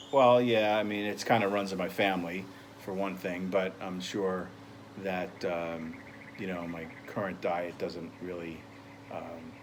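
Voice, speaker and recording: A man talks at a moderate pace in a very deep, low voice with fairly even intonation. Audible room echo and noticeable background noise fill the recording. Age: 60s. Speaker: interviewee in a nutrition counseling role-play. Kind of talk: casual interview. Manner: halting, many fillers.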